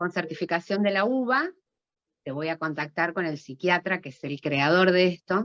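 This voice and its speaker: Dry and close with no echo, a woman with an ordinary speaking voice shows ordinary pitch variation and big swings in loudness. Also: fairly low pitch for a woman, moderate pace. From Argentina, Venado Tuerto. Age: 50s. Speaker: ontological coach and medical clown. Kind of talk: audience comment.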